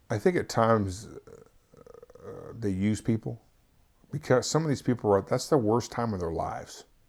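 Pausing long and often, a man with an American accent speaks at a moderate pace and medium pitch with lively intonation. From Kansas, Wichita. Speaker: police lieutenant. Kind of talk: interview. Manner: halting.

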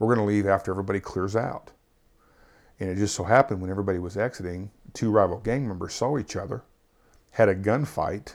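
With an American accent, a man talks at a very fast pace yet with long, frequent pauses, his fairly low pitch showing ordinary variation, on a very clean recording with a silent background. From Kansas, Wichita. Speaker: police lieutenant. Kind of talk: interview. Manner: halting.

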